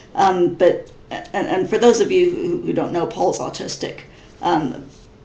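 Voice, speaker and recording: In an American accent, a woman speaks at a fairly slow pace with audible room echo. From US Midwest (Missouri). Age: 30s. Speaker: vlogger. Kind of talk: casual webcam vlog. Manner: halting, many fillers and repetitions.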